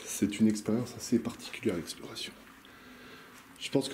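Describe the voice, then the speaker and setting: Here a man speaks at a fairly quick pace with medium pitch. His tone is dark and mellow, and somewhat breathy. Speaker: urban explorer vlogger. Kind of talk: vlog narration while exploring. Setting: indoors in abandoned hotel. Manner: halting, hesitant.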